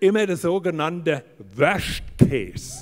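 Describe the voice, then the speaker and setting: A man speaks very slowly in a high-pitched voice. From Hesse, Germany. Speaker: comedian. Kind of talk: motivational stage talk. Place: stage. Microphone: handheld.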